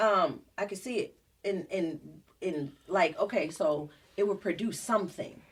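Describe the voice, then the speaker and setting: A woman with a New Jersey accent, medium in pitch with ordinary pitch variation, speaking at a fairly slow pace. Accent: New Jersey (US Northeast). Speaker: singer and entrepreneur, podcast guest. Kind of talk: casual chat.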